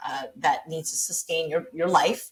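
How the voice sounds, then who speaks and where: A woman talks at a moderate pace in an American accent. Her voice is fairly low-pitched and somewhat breathy. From Taiwan, schooled at American school, early childhood in Australia. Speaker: business founder. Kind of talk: podcast interview. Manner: energetic, enthusiastic.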